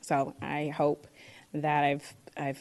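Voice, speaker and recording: Very deep, low-pitched female speech with vocal fry and an American accent, over a quiet background. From Boston, Massachusetts (Dorchester). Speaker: board applicant, history teacher. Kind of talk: public comment at council meeting. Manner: halting, many fillers.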